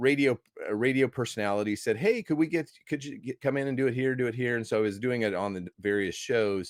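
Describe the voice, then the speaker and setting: A man with an American accent at a medium pitch and ordinary pitch variation, very fast with hardly any pauses, in a very clean recording with a silent background and a dry, close sound with no echo. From US Midwest (Iowa). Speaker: movie critic and evangelist. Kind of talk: podcast interview. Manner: animated.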